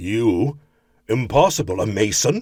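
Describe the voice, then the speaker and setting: At a fairly slow pace, a man puts on a character voice at a medium pitch. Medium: read story.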